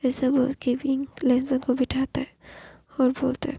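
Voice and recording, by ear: A woman's high-pitched voice with a dark, mellow tone, a husky, rough edge and vocal fry, flat monotone intonation, moderate pace, and dry, close sound with no echo.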